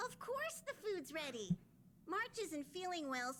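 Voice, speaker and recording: A put-on, squeaky character voice, high in pitch and fairly slow, with clear background noise. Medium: video game. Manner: refers to itself in third person.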